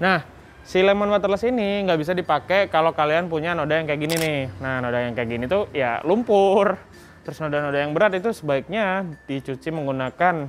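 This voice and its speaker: Faint music plays in the background as the speech moves at a fairly quick pace. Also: man. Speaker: product demonstrator. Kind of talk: tutorial. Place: street. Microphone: lapel.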